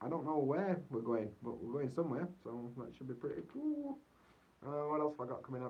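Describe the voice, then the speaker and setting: The speaker is a man with a fairly high pitch. He sounds somewhat breathy and talks at a fairly quick pace. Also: ordinary pitch variation. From Yorkshire, northern England. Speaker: vlogger. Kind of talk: livestream chat. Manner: casual. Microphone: poor audio.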